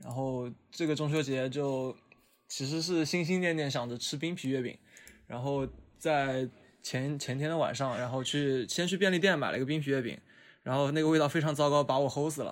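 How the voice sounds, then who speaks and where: An unremarkable speaking voice from a man, moderate in pace with fairly even intonation, on a very clean recording with a silent background. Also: fairly high pitch for a man. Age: 20s. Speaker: podcast host. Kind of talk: casual chat.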